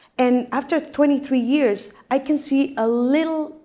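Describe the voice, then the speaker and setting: A woman talks with a Mexican accent. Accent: Mexican Spanish accent, unchanged. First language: Spanish. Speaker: actress. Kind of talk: interview on stage. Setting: live event with audience.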